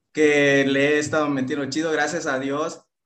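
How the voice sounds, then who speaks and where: Fairly high-pitched male voice, an ordinary speaking voice, moving at a moderate pace. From Mexico, Chiapas. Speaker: content creator, former footballer. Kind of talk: casual chat.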